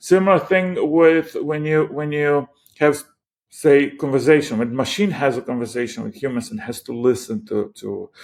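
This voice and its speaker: With a Croatian accent, a man talks at a moderate pace and a fairly high pitch, his intonation lively and his loudness swinging widely. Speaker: AI startup founder. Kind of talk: interview. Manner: halting, many repetitions.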